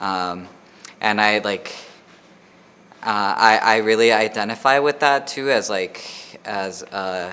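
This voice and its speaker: In an American accent, a man speaks with a fairly low pitch. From Laredo, Texas (US–Mexico border). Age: 30s. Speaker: artist and educator. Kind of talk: interview. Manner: hesitant with many fillers.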